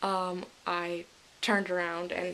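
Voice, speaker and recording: The voice belongs to a woman. It rests at a medium pitch. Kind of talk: casual vlog recap to camera. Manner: enthusiastic.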